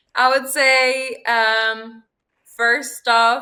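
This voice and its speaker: With a Spanish accent, a woman speaks in a bright, sharp tone at a fairly high pitch. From Mexico. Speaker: former exchange student. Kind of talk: interview answer.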